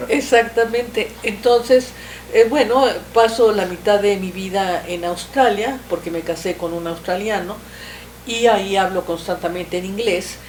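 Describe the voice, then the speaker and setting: A woman speaks at a fairly slow pace in a medium pitch with ordinary pitch variation and big swings in loudness, with noticeable background noise behind her. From Mexico. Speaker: writer, historical novelist. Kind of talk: interview. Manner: halting, with frequent fillers.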